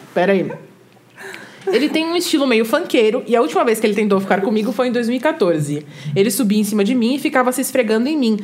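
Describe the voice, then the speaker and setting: Very fast speech comes from a woman at a fairly high pitch, with very wide pitch swings. Noticeable background noise runs underneath. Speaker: content creator. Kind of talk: casual chat.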